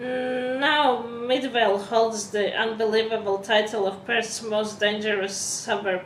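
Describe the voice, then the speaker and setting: Against noticeable background noise and audible room echo, a woman with a non-native accent speaks fairly slowly in a fairly high pitch. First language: not English. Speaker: vlogger. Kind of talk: vlog, reading from a prepared script. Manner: halting, self-correcting.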